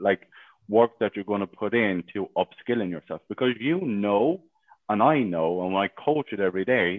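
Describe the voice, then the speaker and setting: A man with an Irish accent speaks at a moderate pace, his pitch fairly low and ordinarily varied. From Ireland. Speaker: sales coach. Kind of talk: interview. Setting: live stream in a Facebook group.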